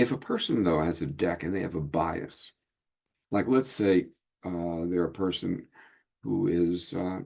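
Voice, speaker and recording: A man speaks with a very deep, low pitch and ordinary pitch variation. He leaves long, frequent pauses. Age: 70s. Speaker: hypnotist and card deck creator. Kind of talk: casual group video meeting. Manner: halting, many fillers.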